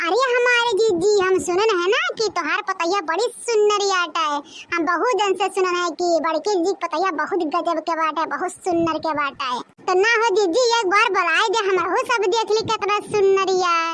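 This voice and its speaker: A woman does a cartoonish character voice at an extremely high pitch. Her pace is moderate, her loudness very even and her pitch variation ordinary. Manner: loud, exclamatory, teasing.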